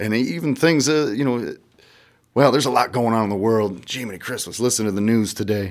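With an American accent, a man talks at a fairly quick pace and medium pitch, his pitch varying in an ordinary way, on a very clean recording with a silent background. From US Midwest, rural southeast Iowa. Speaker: musician. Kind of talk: casual chat. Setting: radio studio. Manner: halting.

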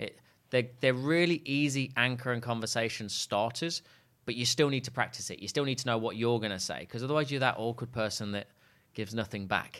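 At a fairly quick pace, a man with an East Midlands accent speaks in a medium pitch with ordinary pitch variation, in a very clean recording with a silent background. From England, Leicester. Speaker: sales trainer and business co-founder. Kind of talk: interview. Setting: studio.

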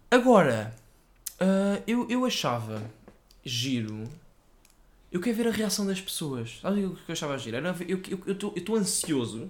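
With a European Portuguese accent, a man speaks fairly slowly and takes long, frequent pauses. His pitch is high, and it swings very widely. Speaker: podcast co-host. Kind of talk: casual chat.

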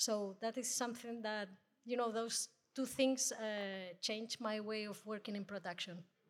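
In a Spanish accent, a woman speaks slowly at a fairly high pitch with fairly even intonation, keeping a fairly slow pace. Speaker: audio editor-in-chief, producer. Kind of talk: panel discussion. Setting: stage with live audience.

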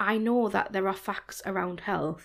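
A woman speaks with a Geordie accent at a moderate pace. Her voice has vocal fry. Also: very clean recording, silent background. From Newcastle, northeast England. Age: 30s. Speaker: fashion blogger. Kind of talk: casual chat.

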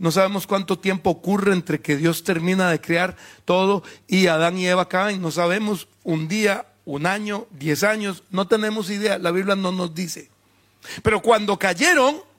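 At a fairly slow pace, a man with a high pitch talks with ordinary pitch variation in a very clean recording with a silent background. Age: 50s. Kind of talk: sermon. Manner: animated.

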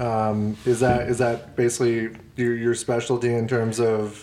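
The speech moves at a moderate pace. It comes in a plain, everyday voice. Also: man. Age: 30s. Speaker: podcast co-host. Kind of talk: casual chat.

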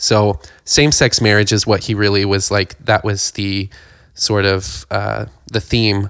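In an American accent, a man with an unremarkable speaking voice talks at a fairly low pitch, fairly slowly and with fairly even intonation. The sound is dry and close, with no echo. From rural Ohio. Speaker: podcast co-host. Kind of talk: casual chat.

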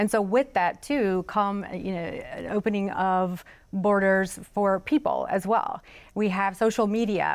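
On a very clean recording with a silent background, a woman with a Southern US accent speaks at a medium pitch and a fairly slow pace, her intonation fairly even. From South Carolina (Florence). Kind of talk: panel discussion.

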